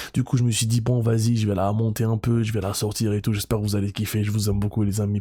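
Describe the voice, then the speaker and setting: A man talks at a very fast pace in a fairly low, monotone voice with flat intonation. Background noise is noticeable. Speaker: YouTuber, card collector. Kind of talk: casual vlog intro. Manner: soft-spoken.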